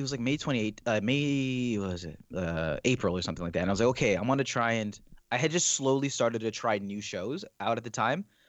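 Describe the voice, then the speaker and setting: A man with an unremarkable speaking voice. He talks at a fairly quick pace with lively intonation. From Toronto, Canada. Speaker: YouTube reviewer. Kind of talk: casual chat. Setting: video call.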